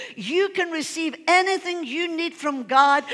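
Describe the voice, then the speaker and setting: Against a quiet background, a woman talks fairly slowly in an animated tone with lively intonation. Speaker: pastor. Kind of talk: sermon. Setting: church. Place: church.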